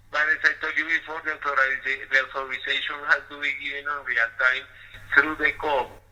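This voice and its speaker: Noticeable background noise sits behind a man with a fairly high pitch and flat, monotone intonation. He speaks at a fairly quick pace with big swings in loudness. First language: Spanish. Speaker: customer service agent. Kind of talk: customer service phone call. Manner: hesitant with fillers.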